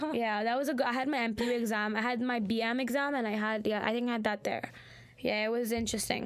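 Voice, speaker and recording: A woman with a fairly high pitch speaks at a very fast pace in a flat monotone, with very even loudness and audible room echo. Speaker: student radio host. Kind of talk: casual chat. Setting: studio.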